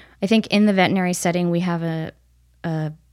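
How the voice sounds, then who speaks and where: Speaking at a moderate pace with an American accent, a woman has a plain, everyday voice at medium pitch, captured in a very clean recording with a silent background. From upstate New York. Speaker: veterinary nutritionist. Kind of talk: casual interview.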